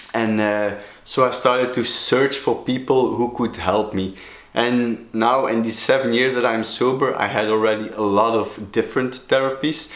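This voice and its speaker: Monotone, flat intonation from a man with a Flemish accent, at a moderate pace, with audible room echo. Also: medium pitch for a man. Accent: Belgian Dutch (Flemish) accent in English. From Belgium (Flemish). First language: Dutch. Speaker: sobriety coach, video blogger. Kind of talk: personal vlog talk. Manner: halting, many fillers.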